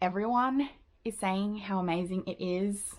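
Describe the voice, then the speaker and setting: With an Australian accent, a woman talks at a medium pitch with ordinary pitch variation. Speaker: book video creator. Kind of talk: casual vlog monologue. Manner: chatty, casual with fillers.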